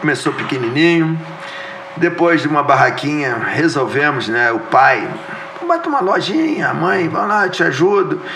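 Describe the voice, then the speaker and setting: A high-pitched man at a moderate pace with ordinary pitch variation, amid audible room echo and noticeable background noise. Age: 60s. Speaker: businessman and former politician. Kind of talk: interview podcast.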